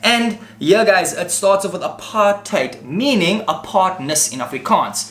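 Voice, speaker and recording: A man's high voice rises and falls with lively intonation while noticeable background noise runs underneath. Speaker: tech YouTuber. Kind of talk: tutorial. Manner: fast; animated.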